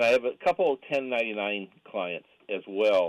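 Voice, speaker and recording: Lively intonation runs through a plain, everyday voice. The sound is dry and close, with no echo. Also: man. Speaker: caller. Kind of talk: phone-in question. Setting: phone call.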